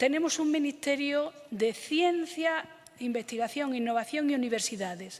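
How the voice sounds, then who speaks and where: A woman with an Andalusian accent at a fairly slow pace, with noticeable background noise. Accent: Andalusian (Córdoba). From Andalusia, Spain (Córdoba). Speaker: government official and professor. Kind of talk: conference talk.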